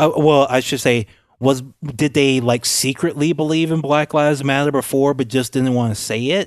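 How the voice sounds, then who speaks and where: An American accent marks this man's unremarkable speaking voice, delivered at a moderate pace and medium pitch with fairly even intonation against a quiet background. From Louisiana, US South. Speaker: podcast co-host. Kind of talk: casual political discussion.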